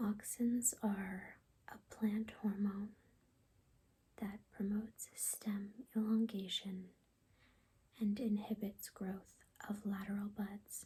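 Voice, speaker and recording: Soft-spoken and somewhat breathy, a woman talks at a very slow pace with long, frequent pauses, a dark, mellow tone, medium pitch and monotone, flat intonation. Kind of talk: ASMR reading of biology definitions. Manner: soft-spoken, calming.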